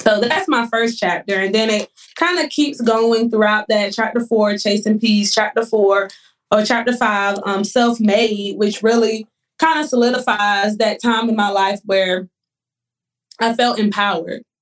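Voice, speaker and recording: Fairly high in pitch, this woman has a plain, everyday voice with very even loudness. She speaks at a fairly slow pace with fairly even intonation. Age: 20s. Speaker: nurse and author. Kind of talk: casual interview chat.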